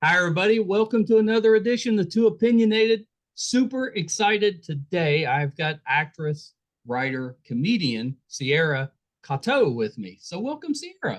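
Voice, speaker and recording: Speaking with a West Virginia accent, a man with a high pitch talks at a moderate pace, his voice making very wide pitch swings. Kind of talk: podcast host, upbeat.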